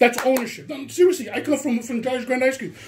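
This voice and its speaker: Loud speech in an animated tone. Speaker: complainant recording a confrontation. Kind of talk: heated conversation.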